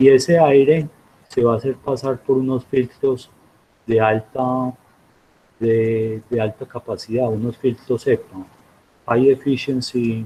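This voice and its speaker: This man speaks at a very slow pace with a medium pitch and a somewhat breathy quality. His tone is dark and mellow. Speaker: university professor. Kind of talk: lecture.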